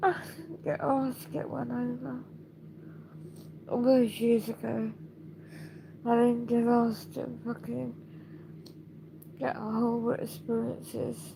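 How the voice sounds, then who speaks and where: The speaker has a British accent and talks at a fairly slow pace. Long pauses come often. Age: 60s. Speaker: video blogger. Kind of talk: personal video diary.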